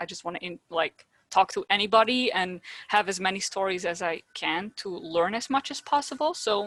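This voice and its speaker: A woman with a Dutch accent speaks with ordinary pitch variation and big swings in loudness. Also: medium pitch for a woman, moderate pace. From Netherlands. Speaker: podcast host, childhood cancer survivor. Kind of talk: casual interview chat.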